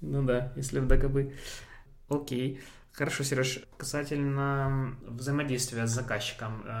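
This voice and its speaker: The delivery is fairly slow and flat in intonation, with long, frequent pauses and audible room echo. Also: man, medium pitch for a man. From Ukraine. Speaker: podcast host. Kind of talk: casual interview.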